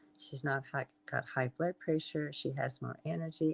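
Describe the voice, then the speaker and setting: A woman with an American accent speaks at a very deep, low pitch, with vocal fry and ordinary pitch variation. Her moderate-paced delivery sounds dry and close, with no echo. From Southern California. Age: 80s+. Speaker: health and wellness entrepreneur. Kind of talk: interview. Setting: live stream.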